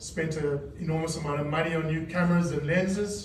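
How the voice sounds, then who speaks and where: This man's voice sits fairly high and moves at a moderate pace with ordinary pitch variation. Room echo is audible. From South Africa. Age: 60s. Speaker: news cameraman. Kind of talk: reunion speech. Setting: reunion gathering with audience. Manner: casual, halting.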